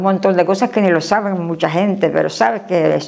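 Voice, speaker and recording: Vocal fry in a woman's voice of medium pitch, with ordinary variation in that pitch. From Canary Islands (Gran Canaria). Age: 90s. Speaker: elderly local resident interviewee. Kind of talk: interview. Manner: animated.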